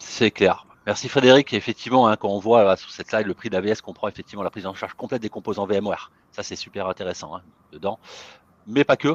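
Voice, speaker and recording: Very fast speech with ordinary pitch variation and big swings in loudness, in a dry, close sound with no echo. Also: man, fairly low pitch for a man. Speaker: IT consultant. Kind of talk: webinar presentation.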